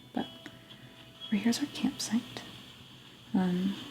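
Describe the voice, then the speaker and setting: At a fairly slow pace, the soft-spoken voice keeps a calm tone over music in the background. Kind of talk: soft-spoken game tour. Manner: soft-spoken, calm.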